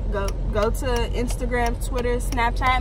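Music plays in the background as a woman speaks at a fairly slow pace, the sound dry with no echo. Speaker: hair braider vlogger. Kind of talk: casual vlog chat. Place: car. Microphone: phone near.

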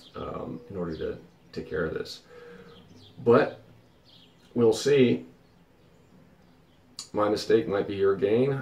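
The speech moves at a very slow pace with long, frequent pauses, big swings in loudness and audible room echo. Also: man. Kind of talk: casual vlog chat. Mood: mildly frustrated, reflective. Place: boat. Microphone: phone near.

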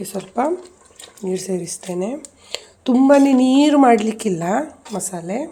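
Lively intonation from a woman at a fairly high pitch, over noticeable background noise. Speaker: cooking and family vlogger. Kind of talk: cooking tutorial.

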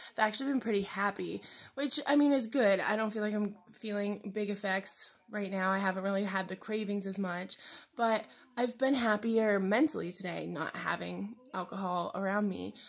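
A woman speaks at a moderate pace, her pitch varying in an ordinary way. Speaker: vlogger. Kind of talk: casual personal vlog. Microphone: phone near.

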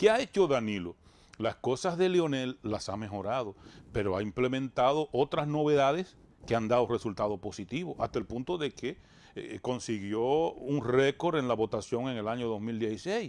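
A man with a normal speaking voice talks at a moderate pace. His pitch is medium and his intonation lively. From Dominican Republic, rural Bánica; Dominican Republic. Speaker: radio and TV show host; radio, TV show host. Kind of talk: interview, political talk. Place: studio. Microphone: lapel.

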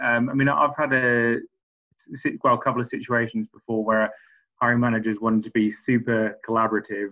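A man at a moderate pace with ordinary pitch variation against a quiet background. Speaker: audience member. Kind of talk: casual chat. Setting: video call. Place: home room. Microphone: video call.

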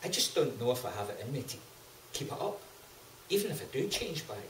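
This man talks very fast, with a fairly high pitch and very wide pitch swings. Light background noise and audible room echo are present. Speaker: guest on a comedic talk show. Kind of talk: comic skit dialogue as a guest on a talk-show set. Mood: plaintive, doubtful. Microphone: camera far.

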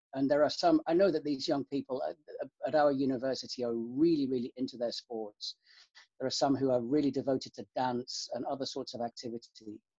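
Fairly high-pitched, a man with a British accent speaks at a fairly quick pace with fairly even intonation. His tone is dark and mellow, and the sound is dry with no echo over a quiet background. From UK, countryside. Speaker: university student life officer. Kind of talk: interview. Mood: calm, thoughtful. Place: home room. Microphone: webcam.

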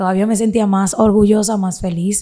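A woman speaks with a quiet background behind her. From Dominican Republic, Santiago; Dominican Republic. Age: 20s. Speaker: social media content creator. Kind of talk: interview, personal life story. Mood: earnest, sometimes aggrieved. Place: studio. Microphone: studio mic.

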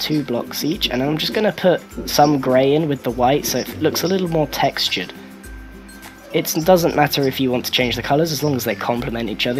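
Music plays in the background as a man speaks. He talks at a fairly quick pace with ordinary pitch variation. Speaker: video game builder. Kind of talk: game tutorial narration.

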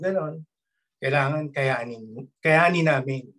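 Against a quiet background, a man speaks a little breathily with ordinary pitch variation. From Philippines. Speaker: former seaman, network marketer; speaker. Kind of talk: testimony. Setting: video call. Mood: earnest, grateful. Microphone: video call.

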